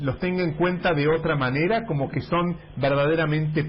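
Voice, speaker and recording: Noticeable background noise surrounds the speaker. He is a man with a fairly high pitch. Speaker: radio host. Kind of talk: radio interview.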